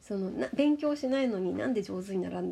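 A woman's voice has a dark, mellow tone and medium pitch, with very wide pitch swings. She talks at a fairly quick pace. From Japan. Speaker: language teacher. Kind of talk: interview. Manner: animated.

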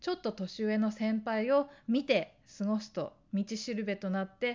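Her pitch fairly high and ordinarily varied, a woman talks in an unremarkable speaking voice. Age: 40s. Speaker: lifestyle YouTuber. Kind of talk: casual monologue.

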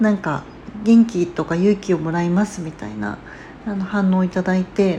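At a moderate pace, a woman talks with a medium pitch, fairly even intonation and big swings in loudness. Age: 30s. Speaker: podcast host, mother of three. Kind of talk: casual solo talk. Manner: casual, hesitant with fillers.

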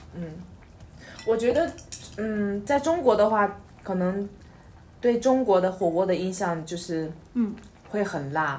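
A woman at a medium pitch talks very slowly with lively intonation and long, frequent pauses, her voice carrying audible room echo over noticeable background noise. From China. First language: Mandarin Chinese (speaking Japanese). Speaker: podcast co-host. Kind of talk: casual chat. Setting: home, eating hot pot while recording. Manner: halting, many fillers.

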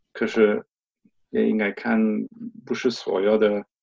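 The speaker is a man with a German accent. He talks at a moderate speed. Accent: German accent in Mandarin. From Germany. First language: German (speaking Chinese). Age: 50s. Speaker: stuttering advocate. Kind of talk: interview. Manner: halting.

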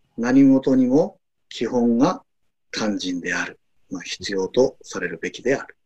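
This man's voice sits at a medium pitch, with a dark, mellow tone and lively intonation. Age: 50s. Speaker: university English professor. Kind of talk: casual chat.

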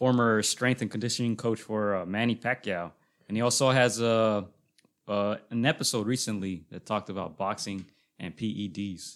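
A man speaks in an ordinary speaking voice, fairly low in pitch. His intonation stays fairly even over a very clean recording with a silent background. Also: moderate pace. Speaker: podcast host. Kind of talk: casual chat. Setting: studio.

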